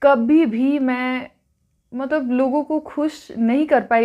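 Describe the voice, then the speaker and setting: A woman with a slight non-native accent and ordinary pitch variation, over a quiet background. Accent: slightly non-native Hindi. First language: not Hindi (speaking Hindi). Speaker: mukbang vlogger. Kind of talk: casual chat while eating.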